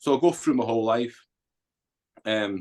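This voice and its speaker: The speaker has a Scottish accent and talks at a moderate pace. The sound is dry and close with no echo, over a quiet background. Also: man. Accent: Scottish, Edinburgh. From Scotland, Edinburgh. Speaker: army veteran, author, former addict. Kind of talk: interview testimony. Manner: casual.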